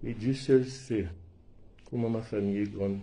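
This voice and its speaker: Dark and mellow in tone, this voice comes across as somewhat breathy. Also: man. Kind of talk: emotional personal testimony to camera.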